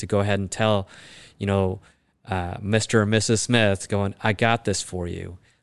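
At a moderate pace, a man with a fairly low pitch talks in an American accent. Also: quiet background. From Chicago, US Midwest. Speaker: orthopedic spine surgeon. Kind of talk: interview conversation. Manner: hesitant, many fillers.

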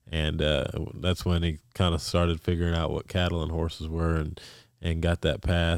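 A man with an American accent, a very deep, low pitch, monotone, flat intonation and a fairly quick pace. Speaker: rodeo calf roper. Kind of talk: casual interview. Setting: studio.

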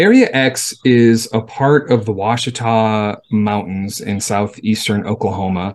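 At a fairly slow pace and with hardly any pauses, a man talks at a medium pitch with fairly even intonation. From Los Angeles, Southern California. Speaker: wildlife researcher. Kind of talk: interview.

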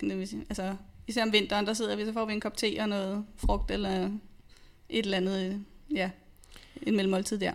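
Fairly even intonation at a moderate pace, in a normal speaking voice. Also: woman. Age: 30s. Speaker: nurse and personal trainer. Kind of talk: interview testimony. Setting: studio.

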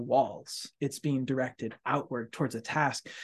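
With a plain, everyday voice, a man speaks at a fairly slow pace, his fairly high pitch carrying fairly even intonation. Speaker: podcast host and community college instructor. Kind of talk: casual chat. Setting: office, construction noise nearby. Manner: warm, effusive.

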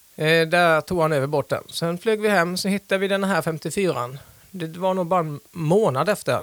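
Here a man with a high pitch and ordinary pitch variation talks at a moderate pace in a very clean recording with a silent background and a dry, close sound with no echo. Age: 40s. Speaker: sailor, small business owner. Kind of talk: interview. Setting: studio.

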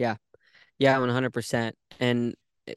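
Monotone, flat intonation from a man at medium pitch, with a dry, close sound, no echo and a quiet background. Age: 30s. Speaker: podcast host and triathlete. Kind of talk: interview conversation.

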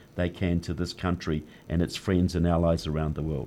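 The background stays quiet. A man speaks in a New Zealand accent. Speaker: author and political activist. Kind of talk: interview. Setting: studio.

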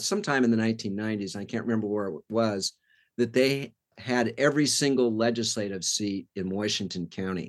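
Against a quiet background, a man with an American accent talks at a fairly quick pace, medium in pitch with ordinary pitch variation. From California. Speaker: retired political reporter. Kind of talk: interview.

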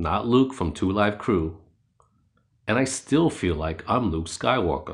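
With a New York accent, a man talks at a fairly low pitch that swings very widely. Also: quiet background. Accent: New York American. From New York City (Queens). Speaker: podcast narrator. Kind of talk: scripted narration.

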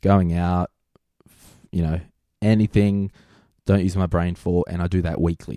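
In a dry, close recording with no echo and a silent background, a man with an Australian accent speaks at a fairly slow pace in a very deep, low, dark, mellow voice, monotone and flat yet with big swings in loudness and long, frequent pauses. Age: 30s. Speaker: financial planner. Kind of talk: interview. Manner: casual.

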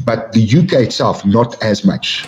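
In a South African accent, a man speaks at a medium pitch. His tone is dark and mellow. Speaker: MMA official. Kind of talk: casual interview.

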